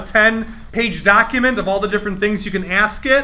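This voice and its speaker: Raising and projecting his voice, a man with an American accent talks at a very fast pace and a high pitch. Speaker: computer class instructor. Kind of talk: live tutorial class. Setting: library room with live audience. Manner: conversational, with filler words.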